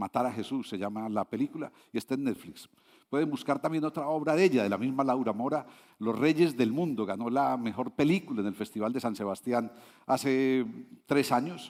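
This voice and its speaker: In a Medellín accent, a man with a medium-pitched voice talks at a moderate pace with lively intonation, on a very clean recording with a silent background. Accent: Colombian Spanish (paisa, Medellín). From Colombia, Medellín. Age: 60s. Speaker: international consultant, invited speaker. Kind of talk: conference talk. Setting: stage with audience. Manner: conversational with frequent fillers.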